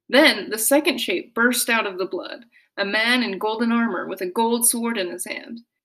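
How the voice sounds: Natural voice, reading.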